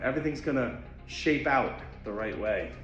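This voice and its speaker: A man is heard with audible room echo, and background noise is noticeable too. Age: 40s. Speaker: podcast co-host giving a fitness segment. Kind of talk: motivational monologue segment; casual chat.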